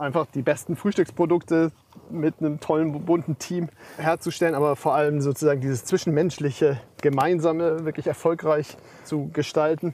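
The tone is dark and mellow, with fairly even intonation. The sound is dry and close, with no echo. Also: man, fairly high pitch for a man, moderate pace. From Bavaria, Germany. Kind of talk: interview. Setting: outdoors on a farm.

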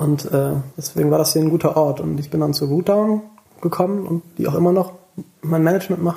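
A man talks at a fairly quick pace over noticeable background noise. His pitch is fairly high and his intonation fairly even. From Rhineland, western Germany (near Bonn). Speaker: musician. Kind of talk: casual chat.

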